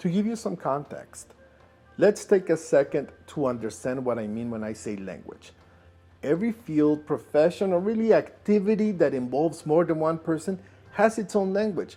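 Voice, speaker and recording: With a non-native accent, a man speaks at a moderate pace in a dark, mellow tone, his high pitch making very wide swings. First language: not English. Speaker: inventor and video creator. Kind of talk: personal vlog narration.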